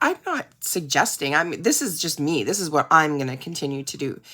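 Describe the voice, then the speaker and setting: A woman is talking. Her pace is fairly quick. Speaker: direct seller and video creator. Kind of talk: casual reflective monologue to camera. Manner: chatty, rambling with many fillers.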